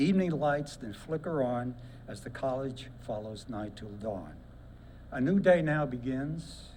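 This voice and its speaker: Against audible room echo, a man with an American accent talks at a medium pitch with ordinary pitch variation, big swings in loudness and long, frequent pauses. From Brooklyn, New York. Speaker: war veteran and poet. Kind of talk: reading aloud a poem. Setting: ceremony with audience.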